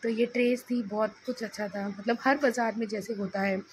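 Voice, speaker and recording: A woman speaks at a moderate pace with fairly even intonation over noticeable background noise. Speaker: vlogger, mother. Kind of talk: vlog narration. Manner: casual.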